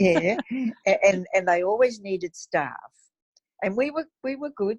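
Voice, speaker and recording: Somewhat breathy woman's voice at medium pitch, fairly slow in pace with lively intonation, and a dry, close sound with no echo. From New Zealand. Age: 80s+. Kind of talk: interview answer.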